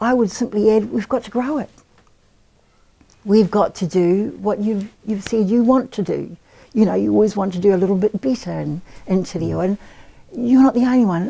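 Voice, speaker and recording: A woman's somewhat breathy, dark, mellow tone at a moderate pace, with long, frequent pauses. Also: medium pitch for a woman, ordinary pitch variation. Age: 60s. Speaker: Māori language teacher and academic. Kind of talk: interview.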